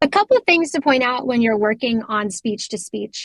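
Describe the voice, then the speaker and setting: A woman's high voice with an American accent and lively intonation, recorded dry and close with no echo. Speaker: customer success lead giving product demo. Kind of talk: product demo tutorial. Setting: online community voice session. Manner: casual, frequent filler ums.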